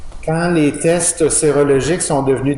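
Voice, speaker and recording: A man with a Quebec accent at a fairly slow pace, with noticeable background noise and audible room echo. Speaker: professor. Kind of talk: lecture. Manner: halting, many fillers.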